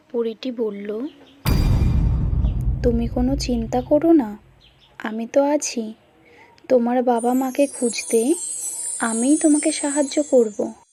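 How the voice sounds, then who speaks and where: A woman's high voice with ordinary pitch variation, over noticeable background noise. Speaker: voice-over artist. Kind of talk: read story narration.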